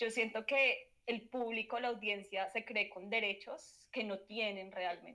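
A woman's fairly high, bright, sharp voice at a fairly slow pace with fairly even intonation. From Colombia, Manizales. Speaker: sociologist, journalist and mother. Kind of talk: casual chat.

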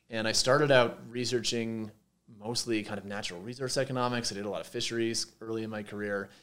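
Talking at a very fast pace, a man with a Montreal accent keeps a flat, monotone delivery at a medium pitch. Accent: Canadian English (Montreal). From Quebec, Montreal. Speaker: professor. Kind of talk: interview. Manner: halting, with many fillers.

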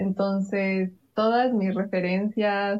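The voice is a woman's, at a medium pitch. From Quito, Ecuador. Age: 20s. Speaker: podcast co-host. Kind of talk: casual chat.

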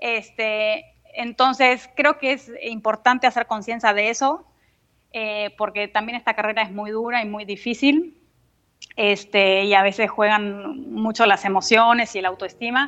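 With a bright, sharp tone and fairly high pitch, a woman talks at a fairly slow pace in fairly even intonation. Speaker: dance notator and ballet teacher. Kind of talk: interview.

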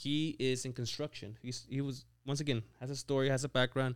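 A man with a Mexican accent, on a very clean recording with a silent background. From Mexico. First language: Spanish. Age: 20s. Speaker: business owner and CEO. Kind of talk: casual interview.

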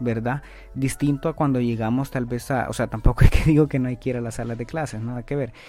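A man at a very fast pace with fairly even intonation, music in the background. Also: medium pitch for a man. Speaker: finance podcast host. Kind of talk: educational monologue. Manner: hesitant, many filler sounds.

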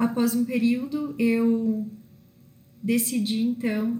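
Somewhat breathy woman's voice, dark and mellow in tone. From southern Brazil (northern Rio Grande do Sul). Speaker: self-development coach. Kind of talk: monologue vlog. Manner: halting with fillers.

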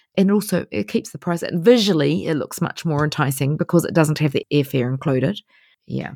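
A woman with a New Zealand accent speaks fairly quickly in a very deep, low voice with a dark, mellow tone and lively intonation. The recording is very clean with a silent background, its sound dry and close with no echo. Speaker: travel blogger. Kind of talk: interview.

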